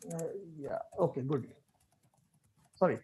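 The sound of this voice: The tone is slightly mellow, with a husky, rough edge. The pitch swings widely up and down.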